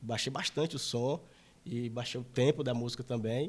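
This man's voice comes through on a very clean recording with a silent background. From interior of Maranhão, Brazil. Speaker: electronic music DJ and producer. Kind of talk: casual chat.

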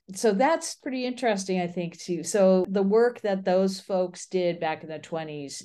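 A woman with an American accent speaks at a fairly low pitch with ordinary pitch variation against a quiet background. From US Midwest. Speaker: urban planning professor. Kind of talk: interview.

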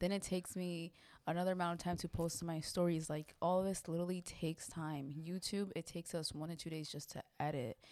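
The speaker uses a normal speaking voice at a fairly quick pace with fairly even intonation, on a very clean recording with a silent background. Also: woman, fairly low pitch for a woman. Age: 20s. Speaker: podcast host and content creator. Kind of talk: casual chat.

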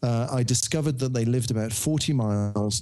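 In a Birmingham accent, the voice has a dark, mellow tone, a moderate pace and ordinary pitch variation. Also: man. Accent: Birmingham (Brummie). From Birmingham, England. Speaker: novelist. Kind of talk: interview.

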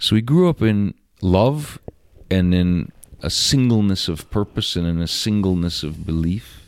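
In a very clean recording with a silent background, a man with a very deep, low pitch speaks at a fairly slow pace with ordinary pitch variation. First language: Russian. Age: 50s. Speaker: podcast guest, friend of host. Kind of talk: casual chat. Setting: home living room.

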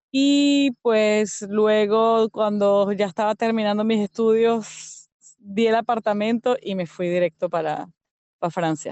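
A woman's fairly high voice moves at a very slow pace, its pitch varying in an ordinary way. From Venezuela, Yaracuy state (San Felipe). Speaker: language teacher, emigrant. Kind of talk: interview testimony. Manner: halting, with fillers.

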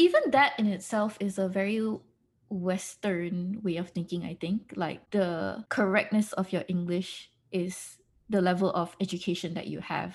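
The voice is somewhat breathy and moves at a moderate pace. The background is quiet. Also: woman, medium pitch for a woman, fairly even intonation. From Malaysia. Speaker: podcast co-host. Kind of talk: casual chat.

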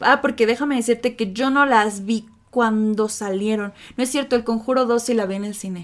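A woman with a fairly high pitch and fairly even intonation is heard on a very clean recording with a silent background. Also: moderate pace. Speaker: podcast co-host. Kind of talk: casual chat.

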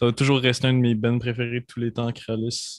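In a Quebec accent, a man speaks at medium pitch with flat, monotone intonation. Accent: Québécois French. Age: young. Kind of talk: interview.

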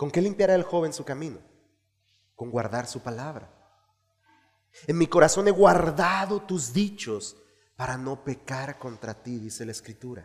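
A man with a fairly high pitch talks at a fairly slow pace, with long, frequent pauses, very wide pitch swings, big swings in loudness, an animated, warm tone and a somewhat breathy quality. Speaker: pastor. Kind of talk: sermon. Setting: church. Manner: earnest, didactic preaching, repeating key phrases for emphasis; exhorting the congregation, animated and warm.

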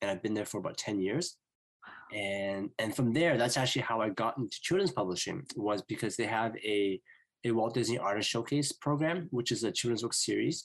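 In a normal speaking voice, a man with a medium pitch talks at a fairly quick pace with lively intonation and very even loudness. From Vancouver, Canada. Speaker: children's book author and animator. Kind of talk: interview.

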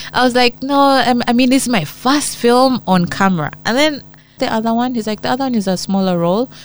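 Speaking very fast in a high voice with ordinary pitch variation, a woman with a Ugandan accent comes through over noticeable background noise. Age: 40s. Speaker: actress. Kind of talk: interview.

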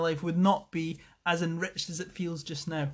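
Speaking with a Scottish accent, this man moves along at a fairly quick clip. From Scotland, Falkirk. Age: 30s. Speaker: podcast host, wellness coach. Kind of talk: casual monologue. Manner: halting, many fillers.

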